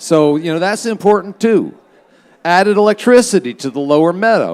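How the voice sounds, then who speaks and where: A man with an American accent speaks loudly at a high pitch, with lively intonation and a moderate pace. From Philadelphia. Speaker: festival emcee. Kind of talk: live stage announcements. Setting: stage with audience. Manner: casual, with fillers.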